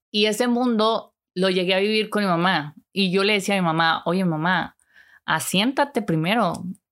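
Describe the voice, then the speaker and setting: A woman's medium-pitched voice at a fairly slow pace, with ordinary pitch variation, in a very clean recording with a silent background. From Mexico, Chihuahua city. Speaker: online psychic and self-help streamer. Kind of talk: personal monologue livestream. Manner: animated, conversational with fillers.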